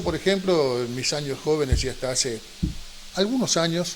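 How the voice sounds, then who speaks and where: A man speaks at a fairly high pitch. His pace is moderate, with noticeable background noise. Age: 50s to early 60s. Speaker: TV show host. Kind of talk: TV interview.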